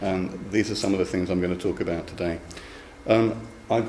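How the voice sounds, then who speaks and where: Over noticeable background noise and audible room echo, a man speaks in a fairly low pitch with ordinary pitch variation. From London, England. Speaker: university lecturer, program director. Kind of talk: academic seminar talk. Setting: seminar room with live audience. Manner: hesitant, with fillers and repetitions.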